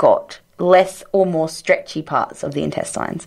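A woman talks at a moderate pace in an Australian accent. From rural Australia. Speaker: science podcast co-host. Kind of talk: casual science chat.

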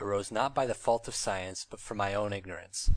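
Speaking at a fairly quick pace, a man uses a fairly low pitch and fairly even intonation. He has an unremarkable speaking voice. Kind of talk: audiobook reading of a literary memoir.

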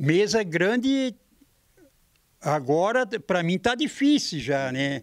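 Against a quiet background, a man with a high voice makes very wide pitch swings. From Santa Catarina, southern Brazil. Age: 80s+. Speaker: carpenter; interviewee. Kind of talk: interview; interview answer. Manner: halting. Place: workshop. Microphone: handheld.

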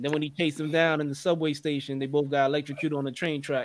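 Very fast and flat, a man talks in a fairly high pitch with monotone intonation. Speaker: livestream show co-host. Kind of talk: casual chat.

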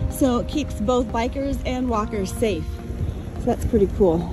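A woman speaks with ordinary pitch variation in a dry sound with no echo, clear music in the background. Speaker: travel vlogger. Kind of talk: casual vlog narration. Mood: cheerful, admiring. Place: waterside. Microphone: phone near.

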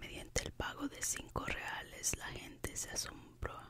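A woman whispering. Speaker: ASMR creator. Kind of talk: whispered ASMR book reading. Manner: whispered, soft-spoken. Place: home room. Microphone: studio mic.

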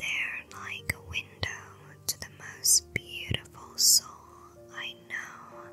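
Someone whispers at a very slow pace. Music plays in the background. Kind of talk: ASMR flirting compliments. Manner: whispered.

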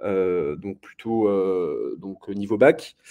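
A man's fairly low, dark, mellow voice is heard over a quiet background. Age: 20s. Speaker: law master's student presenting his program. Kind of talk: live presentation to students. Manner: halting, many fillers and repetitions. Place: home room. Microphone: webcam.

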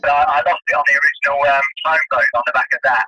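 A man speaks at a very fast clip, with noticeable noise behind him. The sound is dry, with no echo. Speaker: interviewee. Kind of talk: interview answer. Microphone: phone line.

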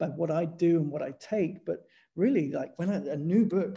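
A man speaks with a London accent at a high pitch, his tone dark and mellow. Pitch variation is ordinary, and the background is quiet. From North West London, England. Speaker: street photographer; guest. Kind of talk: interview answer. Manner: casual, enthusiastic. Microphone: video call.

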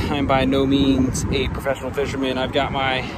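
Loud background noise surrounds a man speaking at a moderate pace, the sound dry with no echo. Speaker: vlogger. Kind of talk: casual vlog chat. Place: waterside. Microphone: phone near.

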